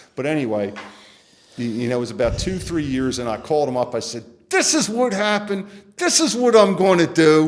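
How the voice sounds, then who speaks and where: A man's fairly high voice with very wide pitch swings at a fairly quick pace, with audible room echo and noticeable background noise. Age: 60s. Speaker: recovering alcoholic sharing his story. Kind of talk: testimony.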